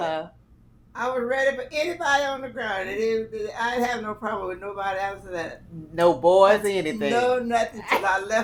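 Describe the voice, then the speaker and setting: Noticeable background noise accompanies a woman's fairly high voice. She speaks fairly quickly with lively intonation. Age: 80s+. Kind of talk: interview answer.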